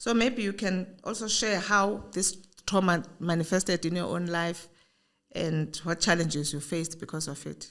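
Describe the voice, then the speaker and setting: A woman with a plain, everyday voice speaks at a fairly low pitch and a moderate pace, using ordinary pitch variation. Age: 60s. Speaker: podcast host, founder. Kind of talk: interview conversation.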